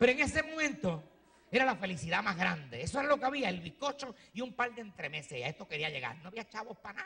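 With a Puerto Rican accent, a man speaks at a very fast pace in a raised, projected voice with an animated tone. His high pitch swings very widely, and his loudness rises and falls sharply. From Puerto Rico. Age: 40s. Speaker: comedian. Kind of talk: stand-up. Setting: stage with audience. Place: stage. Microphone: handheld.

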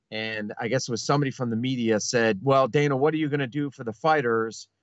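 A man with a plain, everyday voice speaks at a medium pitch and moderate pace, with ordinary pitch variation. The sound is dry with no echo, over a quiet background. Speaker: podcast guest. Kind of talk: casual podcast talk. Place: home room.

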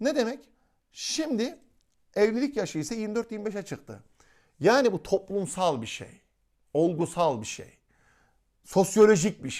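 A high-pitched man's voice at a very slow pace, with lively intonation, big swings in loudness and long, frequent pauses, on a very clean recording with a silent background. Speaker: Islamic religious teacher. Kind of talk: lecture.

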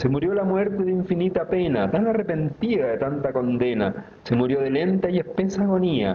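Moderately paced, a man's theatrical tone comes with lively intonation. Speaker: retired professor. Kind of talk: poem performed. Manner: rhythmic, declamatory, theatrical cadence. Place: home room. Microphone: old recording.

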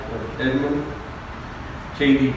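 A man's monotone, flat delivery amid noticeable background noise and strong room echo. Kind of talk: funeral obituary reading. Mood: solemn, measured. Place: church. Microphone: pa.

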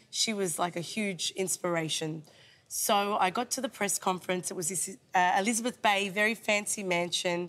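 A woman speaks with an Australian accent. Her intonation stays fairly even at a moderate pace. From Sydney, Australia. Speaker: hip-hop journalist and author; hip-hop journalist. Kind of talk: TV interview. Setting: TV studio. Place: studio. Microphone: lapel.

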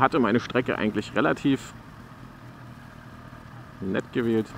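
Vocal fry marks a man's medium-pitched voice with ordinary pitch variation. He speaks slowly over faint background noise.

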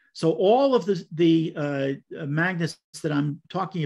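In a normal speaking voice, a man with a fairly high pitch and ordinary pitch variation talks over a quiet background. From US Northeast, Brooklyn. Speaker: model railroad clinic presenter. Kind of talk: presentation. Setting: video call. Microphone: video call.

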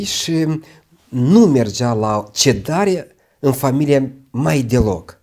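Medium in pitch, this man's voice has a dark, mellow tone and very wide pitch swings. The background is quiet. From Moldova. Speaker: lawyer and law professor; lawyer, law professor. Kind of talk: interview. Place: studio. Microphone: lapel.

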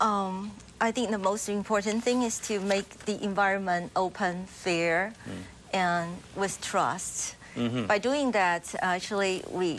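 A woman talks at a fairly slow pace, her pitch varying in an ordinary way, as light background noise runs underneath. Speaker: guest. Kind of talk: interview answer. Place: studio.

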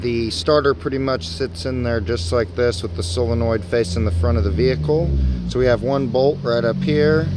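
Noticeable background noise sits behind a man speaking at a moderate pace. The sound is dry, with no echo. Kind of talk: tutorial. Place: street. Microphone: phone near.

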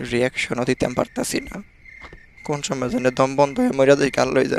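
Quiet and dry, a man's voice comes across close with no echo and ordinary pitch variation, with noticeable background noise behind it. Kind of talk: gameplay commentary. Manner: speaking very quietly on purpose; animated.

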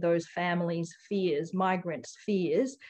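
At a moderate pace, a woman talks in a monotone, flat intonation with a medium pitch and a dark, mellow tone. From Australia, from Hong Kong as a child. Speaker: education researcher, author; university associate professor guest. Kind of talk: pre-recorded interview. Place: home room. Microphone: webcam.

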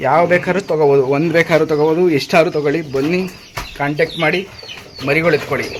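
Over noticeable background noise, a man with a fairly high voice speaks in a flat, monotone way. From Mandya district, southern Karnataka, India. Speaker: sheep farmer and seller. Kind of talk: sales pitch during a farm tour. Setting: sheep shed on a farm.

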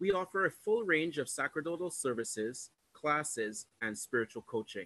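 Delivered at a moderate pace with lively intonation, a man's voice comes through dry with no echo over a quiet background. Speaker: church greeter. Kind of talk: announcements. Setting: church. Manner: formal. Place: home room. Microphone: video call.

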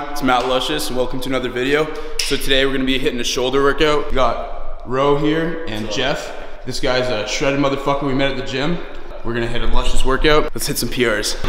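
A man at a fairly quick pace with ordinary pitch variation, audible room echo and light background noise. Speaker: fitness vlogger. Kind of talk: casual vlog chat. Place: garage. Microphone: phone near.

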